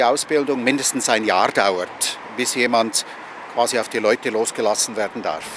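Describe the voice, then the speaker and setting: Through noticeable background noise, this man speaks at moderate speed. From Switzerland. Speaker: Reiki master and teacher. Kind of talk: interview answer.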